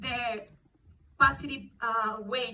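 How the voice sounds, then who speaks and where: The speaker has a Mexican accent. Pitch varies in an ordinary way. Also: woman. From Mexico. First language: Spanish. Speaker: actress. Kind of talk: emotional speech at press event. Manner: halting.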